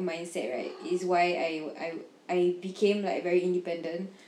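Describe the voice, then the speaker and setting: A woman with a medium-pitched voice speaks at a moderate pace over noticeable background noise. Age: 20s. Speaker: podcast co-host. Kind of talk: casual chat.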